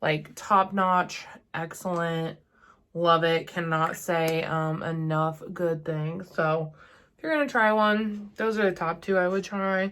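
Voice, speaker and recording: Very slowly, a woman talks in a fairly low pitch. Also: fairly even intonation. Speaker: beauty content creator. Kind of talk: chatty makeup tutorial to camera.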